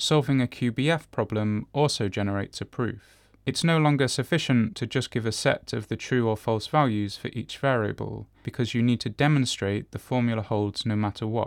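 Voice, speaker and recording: Using an ordinary speaking voice, a man talks at a fairly quick pace with hardly any pauses and a medium pitch, recorded very clean with a silent background and a dry, close sound with no echo. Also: ordinary pitch variation. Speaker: solo podcaster, computer science researcher attending a conference. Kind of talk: audio diary.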